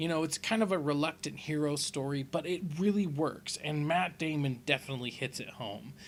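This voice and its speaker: Sounding enthusiastic, a man speaks with hardly any pauses. His pitch is fairly high, with ordinary pitch variation. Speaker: voiceover host. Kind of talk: casual pop-culture countdown commentary. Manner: casual, enthusiastic.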